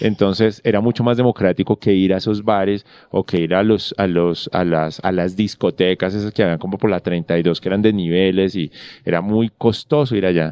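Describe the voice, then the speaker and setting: A man's very deep, low voice comes at a moderate pace. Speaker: novelist and screenwriter. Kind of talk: casual interview chat. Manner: halting, many fillers.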